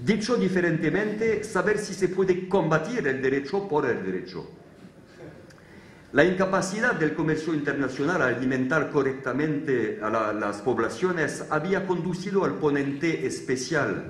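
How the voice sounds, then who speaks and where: Amid noticeable background noise and audible room echo, a man with a French accent speaks at a fairly slow pace in a fairly high pitch with very wide pitch swings. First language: French (speaking Spanish). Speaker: law professor. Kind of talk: conference talk. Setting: theatre stage with audience. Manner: halting, with frequent fillers.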